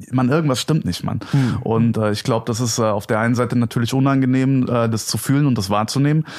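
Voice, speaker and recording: Over noticeable background noise, a man talks at a very fast pace with hardly any pauses. His medium-pitched voice keeps a fairly even intonation. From Hesse, Germany (Gelnhausen near Frankfurt). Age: 20s. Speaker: stand-up comedian. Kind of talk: casual chat. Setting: at the host's home.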